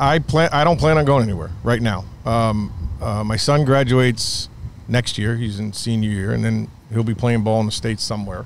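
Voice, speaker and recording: At a moderate pace and medium pitch, a man speaks with ordinary pitch variation in a New York accent. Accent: American (New York). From upstate New York. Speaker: baseball coach and club founder. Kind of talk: podcast interview.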